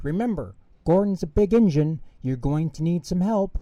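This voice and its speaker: A man uses a put-on character voice at a high pitch. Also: moderate pace, ordinary pitch variation. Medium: read story. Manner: kind, sensible.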